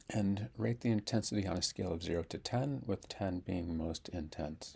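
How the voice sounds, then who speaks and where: A man's very deep, low voice, calm with a dark, mellow tone, somewhat breathy, at a moderate pace. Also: ordinary pitch variation. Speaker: speech therapist. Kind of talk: guided tapping tutorial. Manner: calm instructional; repetitions and sound blocks.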